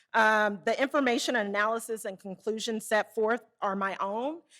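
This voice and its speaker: A woman speaks in a fairly high voice with a Southern US accent. Her pace is moderate. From Arkansas, US South. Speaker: conference speaker, Federal Reserve rural development staff. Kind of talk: conference presentation. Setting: conference room with live and online audience.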